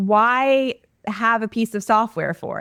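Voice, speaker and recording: A woman with a Canadian accent and an ordinary speaking voice, fairly high in pitch, with ordinary pitch variation and a moderate pace, in a very clean recording with a silent background and a dry, close sound with no echo. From Canada. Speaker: online course entrepreneur. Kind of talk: podcast interview.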